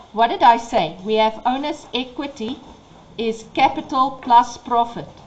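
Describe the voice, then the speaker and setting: Against noticeable background noise, a woman speaks at a high pitch and a fairly slow pace. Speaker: accounting teacher. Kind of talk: tutorial.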